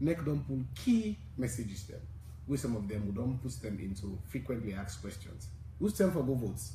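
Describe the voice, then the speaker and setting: Audible room echo surrounds a man whose voice is dark, mellow, and somewhat breathy. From Sierra Leone. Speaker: civil society election coalition leader. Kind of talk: radio interview.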